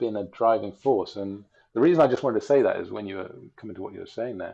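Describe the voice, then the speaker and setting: A man with an English accent speaks at a medium pitch in a dark, mellow tone, with ordinary pitch variation. The background is quiet. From England. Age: 40s. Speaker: bicycle traveler and relational coach. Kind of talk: casual interview chat. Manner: hesitant, many fillers.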